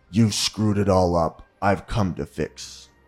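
With faint music in the background, a man uses a put-on character voice that is very deep, low and raspy, speaking at a fairly slow pace with fairly even intonation and a menacing tone.

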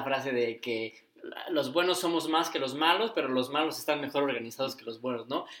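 A man with an unremarkable speaking voice and a fairly high pitch keeps a moderate pace, with ordinary pitch variation. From Mexico, Cuernavaca, Morelos. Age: 20s. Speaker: podcast co-host. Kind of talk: casual chat.

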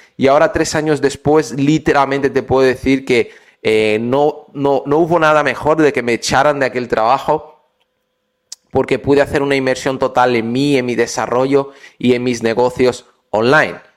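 An ordinary speaking voice at a moderate pace with fairly even intonation. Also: man, medium pitch for a man. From Brazil. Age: 20s. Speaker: podcaster and entrepreneur. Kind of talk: motivational podcast monologue.

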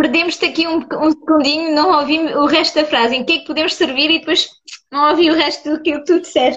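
A woman talks at a fairly quick pace with a high pitch. Her intonation stays fairly even. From France. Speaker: podcast host. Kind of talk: casual interview on Instagram live. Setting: video call livestream.

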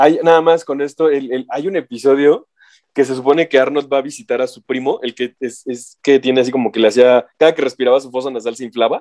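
The speech runs at a very fast pace with big swings in loudness but fairly even intonation. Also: man, medium pitch for a man. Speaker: podcast co-host. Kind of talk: casual chat.

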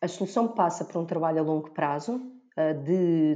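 A woman speaks in a Lisbon accent with a fairly low pitch and a dark, mellow tone. Her intonation is fairly even, and the background is quiet. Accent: European Portuguese, Lisbon. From Portugal, Lisbon area. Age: 40s. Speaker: blogger and author. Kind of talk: casual chat.

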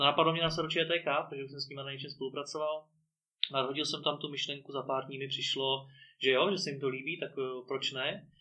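A man talks at a very fast pace in a fairly high pitch, his intonation monotone and flat. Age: 20s. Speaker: podcast host and entrepreneur. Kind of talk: interview. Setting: studio.

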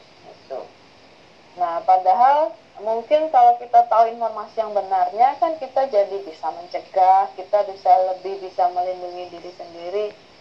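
A woman at medium pitch, lively intonation and moderate pace amid noticeable background noise. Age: 30s. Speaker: university lecturer. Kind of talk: interview.

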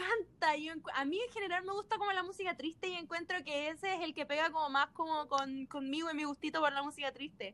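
A woman's extremely high, bright, sharp voice, raised and projected, with ordinary pitch variation, a Chilean accent, a very fast pace and hardly any pauses. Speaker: podcast host. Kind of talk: casual chat.

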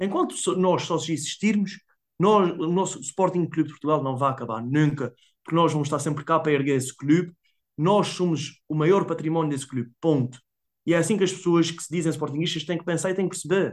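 Speaking with an Azorean accent, a man talks at a fairly quick pace in a fairly high pitch, with ordinary pitch variation. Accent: Azorean (São Miguel). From Azores, São Miguel island. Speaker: football fan. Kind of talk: casual interview. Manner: fast.

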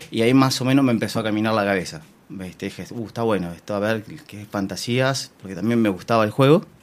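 A man with a Rioplatense accent at medium pitch, talking at a very fast pace. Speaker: swinger party organizer. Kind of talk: interview.

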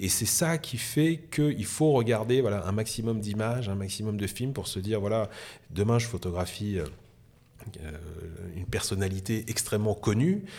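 A man talks at a fairly low pitch in a dark, mellow tone, with ordinary pitch variation. His pace is moderate, broken by long, frequent pauses. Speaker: photographer. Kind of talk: casual interview chat. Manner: animated, enthusiastic.

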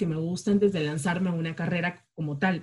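A woman's fairly low, somewhat breathy voice carries ordinary pitch variation. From Peru, Chiclayo (northern coast), later Jaén. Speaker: podcast co-host, communicator. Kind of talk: casual chat.

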